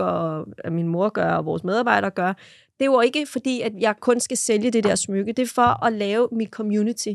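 A plain, everyday voice, a woman at a medium pitch with ordinary pitch variation and a fairly quick pace, in a very clean recording with a silent background and a dry, close sound with no echo. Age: 30s. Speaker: social media content creator. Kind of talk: casual chat. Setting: studio.

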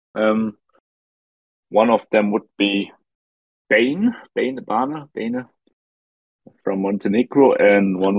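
With a non-native accent, a man speaks at a very slow pace and a medium pitch. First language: not English. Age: 20s. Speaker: online game team leader. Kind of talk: interview.

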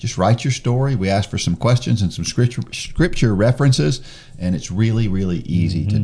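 Behind the man as he speaks, background noise is noticeable. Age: 50s. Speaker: podcast host. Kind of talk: casual podcast conversation.

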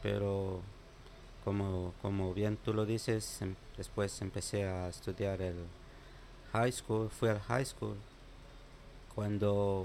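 A man's fairly low voice at a very slow pace, monotone and flat in intonation. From Guatemala, Sololá. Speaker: immigrant. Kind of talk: interview. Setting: makeshift studio.

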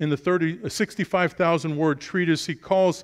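Against a quiet background, the speaker talks at a fairly quick pace with an American accent. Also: man. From Brooklyn, New York. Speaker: preacher. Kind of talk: sermon.

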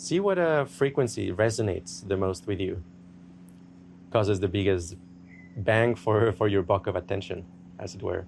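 In a somewhat breathy, fairly low voice, a man talks at a moderate pace with ordinary pitch variation and long, frequent pauses. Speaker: meditation teacher. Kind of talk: guided meditation. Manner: soothing, gentle, hypnotic.

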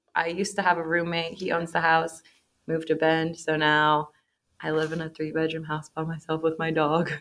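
At a moderate pace, a woman with a Pacific Northwest accent speaks at a fairly low pitch in a monotone, flat intonation. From Portland, Oregon. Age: 20s. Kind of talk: casual chat.

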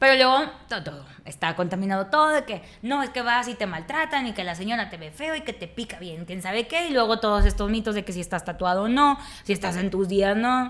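A woman's fairly high pitch at a fairly quick pace, with very wide pitch swings and big shifts in loudness. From Nuevo Laredo, northern Mexico border. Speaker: communicator and food content creator. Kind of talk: casual interview.

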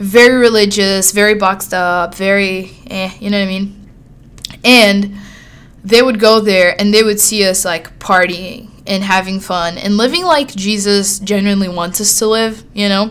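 Amid noticeable background noise, a woman with a Brazilian accent speaks at medium pitch and a moderate pace. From Sao Paulo, Brazil. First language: Portuguese. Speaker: podcast host. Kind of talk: solo monologue, casual storytelling. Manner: animated, friendly.

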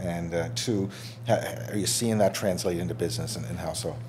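With a Canadian accent, a man speaks in a very deep, low voice at a fairly quick pace. His pitch swings very widely, and there is noticeable background noise. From Canada, East Coast. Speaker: podcast host. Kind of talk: casual interview.

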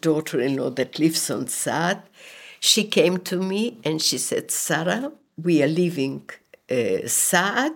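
Vocal fry and lively intonation mark this fairly slow speech on a very clean recording with a silent background. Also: woman. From Poland, later Siberia and Israel. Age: 80s+. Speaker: Holocaust survivor. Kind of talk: testimony. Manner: halting.

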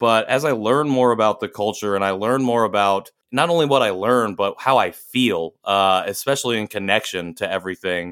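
Speaking in a Midwestern accent, a man keeps a moderate pace with hardly any pauses in a very clean recording with a silent background. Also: ordinary pitch variation. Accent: general American, Midwestern. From US Midwest. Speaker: podcast co-host and nonprofit founder, Korean adoptee. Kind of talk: casual interview conversation.

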